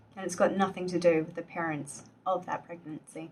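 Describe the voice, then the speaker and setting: A woman speaks in a calm tone at a fairly low pitch and a moderate pace. Her intonation is fairly even, with noticeable background noise behind her. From Australia. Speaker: general practitioner (doctor). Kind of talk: educational medical explainer to camera. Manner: calm, empathetic, clear.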